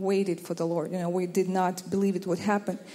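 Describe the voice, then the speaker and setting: The woman's voice sits at a medium pitch, flat and monotone, with noticeable background noise behind it. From Ukraine. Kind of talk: testimony.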